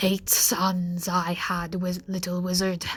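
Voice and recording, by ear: Putting on a character voice, a woman speaks at a fairly slow pace and a medium pitch, with monotone, flat intonation over light background noise.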